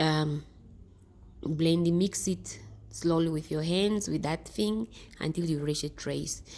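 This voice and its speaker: On a very clean recording with a silent background, a woman talks at a very slow pace, leaving long, frequent pauses. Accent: non-native. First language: not English. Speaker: DIY skincare vlogger. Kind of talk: tutorial. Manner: halting; casual.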